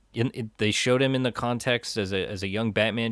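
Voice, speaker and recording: A man with an unremarkable speaking voice talks at a moderate pace with fairly even intonation, in a dry, close sound with no echo on a very clean recording with a silent background. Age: 30s. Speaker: movie podcast co-host. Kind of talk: casual chat.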